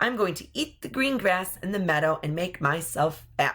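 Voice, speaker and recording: A raspy, female-sounding put-on character voice at a middle pitch. She speaks at a moderate pace. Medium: read story.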